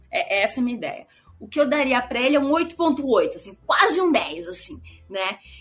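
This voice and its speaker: Music in the background behind a woman's high voice at a fairly quick pace, with very wide pitch swings and big swings in loudness. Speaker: film podcast co-host. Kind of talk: casual chat. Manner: fast.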